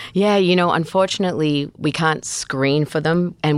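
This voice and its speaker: A woman's very deep, low voice in an Australian accent at a fairly quick pace. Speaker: reproductive geneticist. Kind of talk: expert interview.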